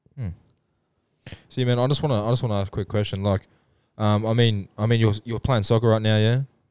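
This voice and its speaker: Speaking very fast with an Australian accent, a man at medium pitch uses fairly even intonation, leaves long, frequent pauses, and sounds dry and close with no echo. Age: 20s. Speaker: podcast co-host and producer. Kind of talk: casual chat.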